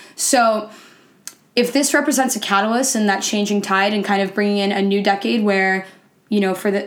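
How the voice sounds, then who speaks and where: Using an unremarkable speaking voice, a woman talks at a medium pitch and a fairly quick pace with fairly even intonation. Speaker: podcast co-host. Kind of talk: casual podcast chat.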